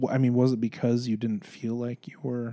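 The tone is dark and mellow. The intonation stays flat and monotone. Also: man. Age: 40s. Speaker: podcast co-host. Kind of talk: casual chat.

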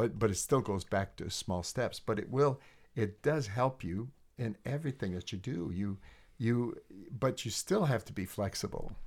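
On a very clean recording with a silent background, a man speaks at a medium pitch in a somewhat breathy voice with ordinary pitch variation. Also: moderate pace. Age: 60s. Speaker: leadership trainer and coach. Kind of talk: casual chat. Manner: halting, many fillers and repetitions.

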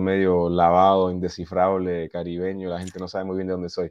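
A man talks at a fairly quick pace with a very deep, low pitch. His intonation is monotone and flat. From US, Boston area, Peruvian parents. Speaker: touring musician. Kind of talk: casual interview.

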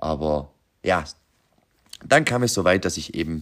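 The recording is very clean, with a silent background. A man speaks at a moderate pace with lively intonation. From Austria, Vorarlberg. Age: 30s. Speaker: podcast host, aspiring entrepreneur. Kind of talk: unscripted monologue. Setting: home workshop.

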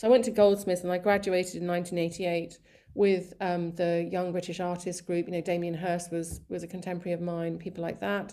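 A woman with a southern English accent talks at a fairly quick pace and fairly low pitch. Her tone is dark and mellow, her intonation monotone and flat. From England, raised there from about age five. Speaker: artist and social media page founder. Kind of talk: interview. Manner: halting, many fillers.

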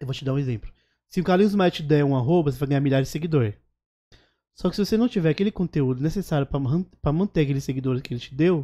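A man's fairly high, dark, mellow and somewhat breathy voice at a very fast pace, with lively intonation, long, frequent pauses and a dry, close sound with no echo. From Alagoas, Northeast Brazil. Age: 30s. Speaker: comedian and social media influencer. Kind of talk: casual interview chat.

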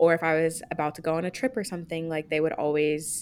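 A fairly low-pitched woman with an unremarkable speaking voice at a fairly quick pace, on a very clean recording with a silent background. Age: 20s. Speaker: podcast co-host. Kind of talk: casual chat.

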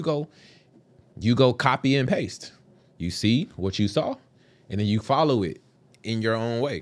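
The recording is very clean, with a silent background. A man speaks at a medium pitch with an American accent. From Dallas, Texas. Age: 20s. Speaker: entrepreneur and Navy veteran. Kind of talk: casual chat.

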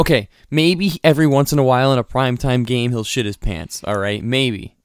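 A man with an unremarkable speaking voice talks at a fairly quick pace in a medium pitch, his intonation lively, on a very clean recording with a silent background and a dry, close sound with no echo. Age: 20s. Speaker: sports podcast host. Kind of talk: casual chat.

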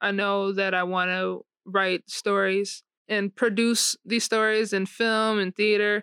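Recorded very cleanly with a silent background and a dry, close sound with no echo, a woman speaks fairly slowly at a medium pitch, her bright, sharp tone delivered in monotone, flat intonation at very even loudness. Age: 20s. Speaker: aspiring writer and producer. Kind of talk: personal testimony in interview.

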